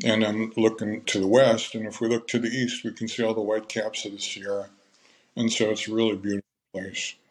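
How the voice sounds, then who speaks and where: Fairly quick and flat in a monotone, a man with an American accent talks at a medium pitch. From California. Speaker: winery owner. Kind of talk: interview.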